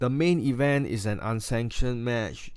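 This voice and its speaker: The speaker has a Singaporean accent and ordinary pitch variation. It is a very clean recording with a silent background. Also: man. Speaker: wrestling YouTuber. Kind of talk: casual review monologue. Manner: halting, many fillers and restarts.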